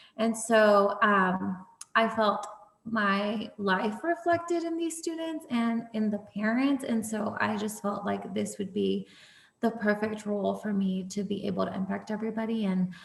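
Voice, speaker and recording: Over noticeable background noise, a woman with a Spanish accent speaks slowly-ish, at a fairly slow pace, with lively intonation and fairly high pitch. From Houston, Texas (from age five; born in Tamaulipas, Mexico). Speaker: school librarian. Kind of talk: panel discussion.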